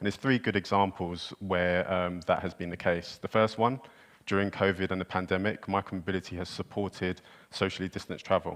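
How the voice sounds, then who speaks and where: A man with a British accent speaks at a fairly quick pace in a very deep, low pitch, his intonation monotone and flat, against a quiet background. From United Kingdom. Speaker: micromobility company representative. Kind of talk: panel discussion.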